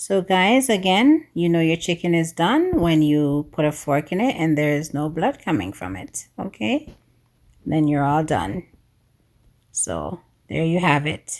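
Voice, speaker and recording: A woman's fairly low voice, fairly slow, with lively intonation. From Jamaica. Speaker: cooking YouTuber. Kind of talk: cooking tutorial. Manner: animated.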